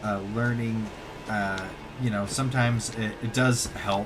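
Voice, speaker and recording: A quiet man speaks in a monotone, flat way, with noticeable background noise and audible room echo. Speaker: gaming streamer and aspiring voice actor. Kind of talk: casual live-stream chat. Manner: quiet, hesitant with many fillers.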